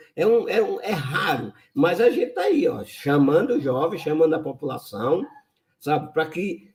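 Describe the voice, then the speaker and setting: A high-pitched man with lively intonation at a fairly slow pace. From Brazil, sertão of Pernambuco. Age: 70s. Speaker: lawyer and environmental activist. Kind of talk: interview.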